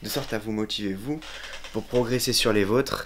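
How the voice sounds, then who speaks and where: A man talks at a fairly slow pace. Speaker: YouTuber, motivational vlogger. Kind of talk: casual vlog talk to camera. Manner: upbeat, energetic.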